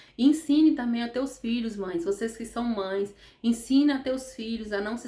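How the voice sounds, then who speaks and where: A woman's voice, fairly high in pitch. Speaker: therapist vlogger. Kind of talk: motivational talk to camera. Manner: fast; animated.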